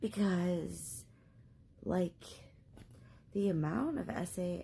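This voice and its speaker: Vocal fry runs through a woman's speech at a very slow pace. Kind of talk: casual talk to camera.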